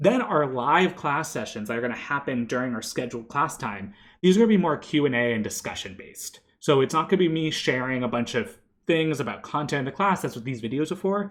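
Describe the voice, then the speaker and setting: Talking at a very fast pace, a man swings his fairly high pitch very widely. The background stays quiet. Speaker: university instructor. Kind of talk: pre-recorded lecture. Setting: pre-recorded online video. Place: home room.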